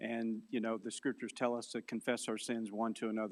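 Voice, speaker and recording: A man talks in a Southern US accent. His pace is fairly quick. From US South, Mississippi. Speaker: philosophy lecturer and apologist. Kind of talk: conference lecture.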